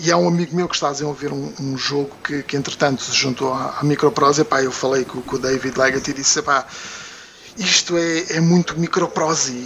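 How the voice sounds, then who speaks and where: Over noticeable background noise, a man talks at a fairly quick pace with a fairly high pitch and fairly even intonation. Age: 40s. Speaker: video game product development manager. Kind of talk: casual chat.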